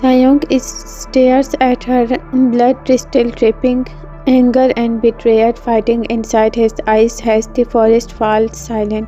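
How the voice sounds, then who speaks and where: Music plays in the background as a woman talks very slowly with a non-native accent. Her pitch is fairly high and her intonation monotone and flat. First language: non-native English speaker. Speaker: fanfiction narrator. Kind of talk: read fanfiction story with character lines. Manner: hesitant, with fillers.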